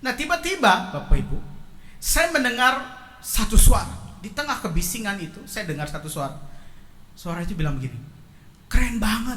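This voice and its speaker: A man's raised, projected voice at a high pitch, fairly quick yet with long, frequent pauses, very wide pitch swings and big swings in loudness, amid noticeable background noise and audible room echo. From Indonesia. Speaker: preacher. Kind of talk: sermon.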